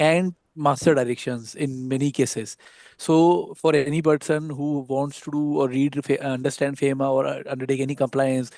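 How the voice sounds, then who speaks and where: A man with a fairly high pitch and a dark, mellow tone speaks at a moderate pace in a monotone, flat intonation over a quiet background. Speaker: panelist on legal compliance. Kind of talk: webinar presentation. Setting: online webinar. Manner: quiet, low volume; hesitant, many fillers.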